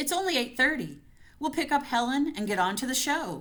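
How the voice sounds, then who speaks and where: In a put-on character voice, a female-sounding speaker goes high-pitched, raised and projected, at a fairly quick pace. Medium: read story. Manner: firm, controlled.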